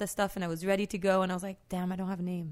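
Recorded very clean over a silent background, a woman speaks at a medium pitch with a French accent. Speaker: street artist. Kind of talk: casual chat. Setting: studio.

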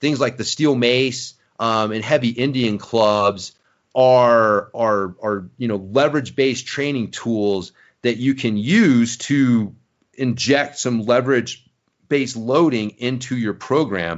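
A plain, everyday voice belongs to a man at medium pitch. He speaks at a fairly slow pace with ordinary pitch variation. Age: 40s. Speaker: mountain bike fitness coach. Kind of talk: interview.

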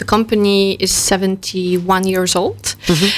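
With a Polish accent, a woman speaks at a medium pitch. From Poland. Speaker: customer experience manager. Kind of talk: radio interview. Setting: studio.

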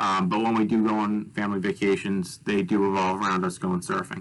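In an American accent, a man speaks at a moderate pace with a fairly low pitch. He has an unremarkable speaking voice. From US Northeast, Long Island, New York. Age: 20s. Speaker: wave pool developer. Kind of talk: interview.

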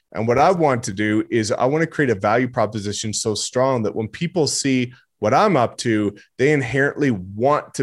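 Speaking with a Canadian accent, a man with a plain, everyday voice keeps a moderate pace with hardly any pauses and ordinary pitch variation. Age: 20s. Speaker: real estate agent. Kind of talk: podcast interview. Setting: video call.

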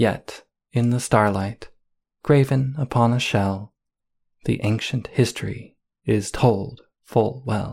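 Slowly, with long, frequent pauses, a man speaks in a solemn tone and fairly even intonation. His voice is somewhat breathy and the pace very slow. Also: medium pitch for a man, very clean recording, silent background. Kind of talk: poetry reading, solemn archaic verse read aloud.

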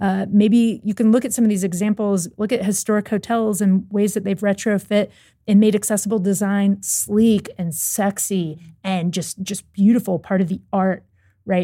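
A woman's somewhat breathy, dark and mellow voice in an American accent, medium in pitch, monotone and flat, at a moderate pace, on a very clean recording with a silent background. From US South, Louisville, Kentucky. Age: 30s. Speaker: accessibility app team member. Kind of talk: casual interview chat. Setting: studio.

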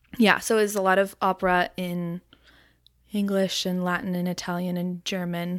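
A woman's medium-pitched voice with an Ontario accent, monotone, flat intonation, and a moderate pace, on a very clean recording with a silent background. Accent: Canadian (Ontario). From Ontario, Canada (Aurora, Toronto suburbs). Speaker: florist and small business owner. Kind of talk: casual interview chat.

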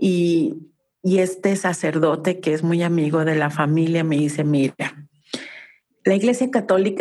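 A plain, everyday voice from a woman, fairly low in pitch, at a fairly slow pace with ordinary pitch variation and very even loudness. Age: 50s. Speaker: family constellation therapist. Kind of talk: casual interview.

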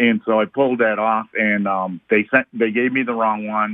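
This man has a normal speaking voice at medium pitch. He keeps a moderate pace and fairly even intonation. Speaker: caller with car question. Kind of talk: call-in conversation. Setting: phone call.

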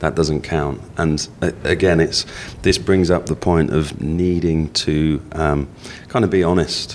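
A man talks with a very deep, low pitch and fairly even intonation. His loudness stays very even over noticeable background noise. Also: fairly slow pace. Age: 40s. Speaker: life insurance adviser. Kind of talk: interview. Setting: hotel venue.

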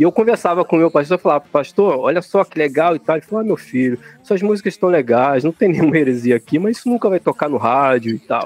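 Against noticeable background noise, with a dry, close sound and no echo, a man rattles along at a very fast pace with hardly any pauses, a fairly high pitch, and lively intonation. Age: 40s. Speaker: drummer and lyricist of a rock band. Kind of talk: casual chat.

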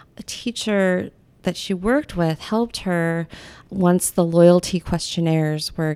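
A woman with an American accent has a plain, everyday voice, a fairly low pitch and fairly even intonation on a very clean recording with a silent background. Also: dry, close sound with no echo. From US Pacific Northwest. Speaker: art professor and photographer. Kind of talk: casual interview.

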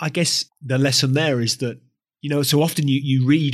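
In an unremarkable speaking voice, a man at a medium pitch talks at a moderate pace with fairly even intonation. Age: 40s. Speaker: podcast host. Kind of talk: interview.

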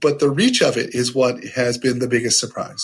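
Here a man speaks in a somewhat breathy voice. His delivery is monotone, with flat intonation. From US Midwest, small-town Ohio. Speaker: HR professional and author. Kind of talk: casual podcast interview.

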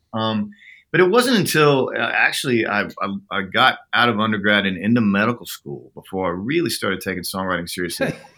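Speaking at a fairly quick pace, a man with an American accent has a fairly low pitch, lively intonation and a bright, sharp tone. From Oklahoma. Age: 50s. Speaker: songwriter. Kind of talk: interview.

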